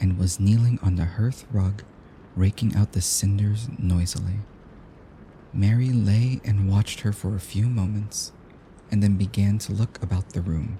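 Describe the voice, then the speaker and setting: A man's soothing, gentle, somewhat breathy voice, fairly low in pitch, at a moderate pace with fairly even intonation. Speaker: audiobook narrator. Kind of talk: sleep story reading. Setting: rain sounds in background.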